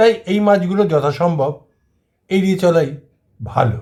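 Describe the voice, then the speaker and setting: Lively intonation from a man, in a normal speaking voice pitched fairly high. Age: 60s. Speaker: kidney patient and health video host. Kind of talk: informational monologue.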